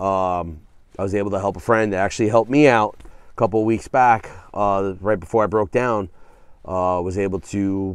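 Against a quiet background, a man with a fairly low pitch talks at a moderate pace with fairly even intonation, the sound dry with no echo. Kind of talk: casual vlog chat. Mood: reflective, earnest. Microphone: phone near.

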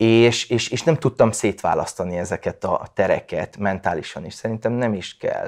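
Moderate pace, hardly any pauses, and a quiet background. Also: man. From Vojvodina, Serbia (Subotica); Vojvodina, Serbia. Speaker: writer. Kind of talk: personal testimony. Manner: halting, many repeated fillers. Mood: reflective, calm. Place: home room. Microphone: lapel.

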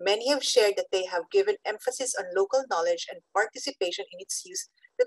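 At a fairly quick pace, a woman speaks with very wide pitch swings, the sound dry with no echo and the background quiet. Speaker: panelist. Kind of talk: panel summary remarks. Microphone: video call.

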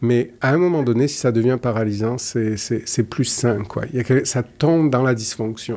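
Pitched in the medium range, this man's voice carries a dark, mellow tone. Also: ordinary pitch variation, moderate pace. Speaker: psychologist; guest. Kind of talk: interview conversation. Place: studio. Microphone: studio mic.

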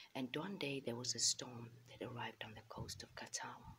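Someone is whispering. The pace is moderate. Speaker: storyteller. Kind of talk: storytelling narration. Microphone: phone near.

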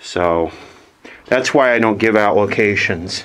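Speaking at a very slow pace, a man has a fairly low pitch. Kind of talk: casual commentary. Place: tunnel cave. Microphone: phone near.

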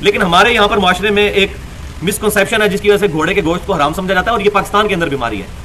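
A man's raised, projected voice at a fairly quick pace, with ordinary pitch variation over light background noise. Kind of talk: lecture. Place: studio.

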